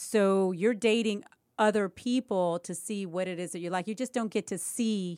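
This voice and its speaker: A woman speaks at a medium pitch and a moderate pace, with ordinary pitch variation. The sound is dry and close with no echo, on a very clean recording with a silent background. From Cuba, raised in Chicago. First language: Spanish. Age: 50s. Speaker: real estate agent and former TV personality. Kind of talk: casual interview. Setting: studio, wearing a mask.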